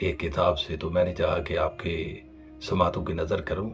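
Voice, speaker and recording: A man is speaking. Music plays in the background. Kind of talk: Islamic lecture. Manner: earnest, preachy.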